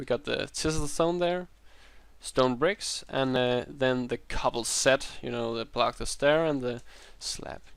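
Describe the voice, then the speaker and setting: A man speaks at a very slow pace. His pitch is medium with ordinary variation. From Denmark. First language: Danish. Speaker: Minecraft YouTuber. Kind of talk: gameplay tutorial. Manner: hesitant, many fillers.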